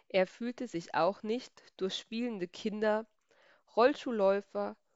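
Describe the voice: The speaker does plain reading aloud over a quiet background.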